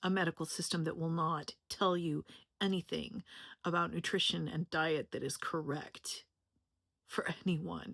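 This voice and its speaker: A woman's fairly low pitch with vocal fry and fairly even intonation at a fairly slow pace, in a dry, close sound with no echo on a very clean recording with a silent background. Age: 50s. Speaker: health educator and content creator. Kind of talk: personal introduction video monologue. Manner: casual, conversational.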